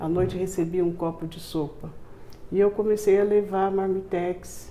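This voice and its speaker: A woman's dark, mellow tone comes through with monotone, flat intonation. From Brazil, São Paulo. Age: 70s. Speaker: community charity founder. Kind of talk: interview testimony.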